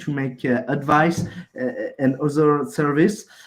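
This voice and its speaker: A man with a French accent. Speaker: project founder pitching. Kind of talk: project pitch. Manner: halting.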